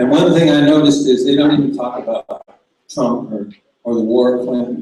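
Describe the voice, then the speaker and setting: A man speaks loudly in a fairly high voice with ordinary pitch variation. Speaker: singer-songwriter and activist. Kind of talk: political speech and song introduction on stage.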